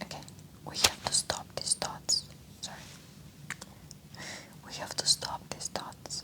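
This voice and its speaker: A woman whispering in a gentle tone, with noticeable background noise. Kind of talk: ASMR emotional support talk. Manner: soft-spoken, gentle, conversational.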